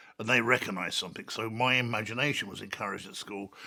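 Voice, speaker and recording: A man speaks with a London accent. His intonation is fairly even. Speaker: artist and author. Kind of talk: reflective interview monologue. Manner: halting.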